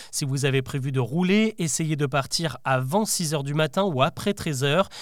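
A man talks in a plain, everyday voice. His pitch variation is ordinary. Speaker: podcast host. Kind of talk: news bulletin, daily news recap read to the listener. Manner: brisk, clear and formal, with a lightly engaging tone.

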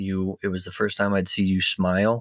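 A man's fairly low voice at a moderate pace, monotone and flat, in a very clean recording with a silent background and a dry, close sound with no echo. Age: 30s. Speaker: caregiver partner. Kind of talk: personal testimony.

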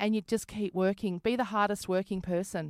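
In an Australian accent, a woman talks at a fairly quick pace with a medium pitch and fairly even intonation, in a dry, close sound with no echo. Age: 40s. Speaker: comedian and radio presenter. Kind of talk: casual interview chat. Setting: video call.

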